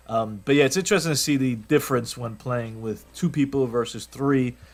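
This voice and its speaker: On a very clean recording with a silent background, a man speaks at a moderate pace and a medium pitch with ordinary pitch variation. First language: not English. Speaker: gaming youtuber. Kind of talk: gameplay commentary. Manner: casual, rambling with false starts.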